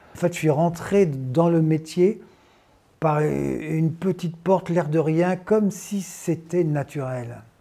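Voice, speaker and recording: Very slow speech with fairly even intonation. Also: man, fairly high pitch for a man. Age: 60s. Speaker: actor and climate activist. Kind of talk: interview testimony. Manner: hesitant, many fillers.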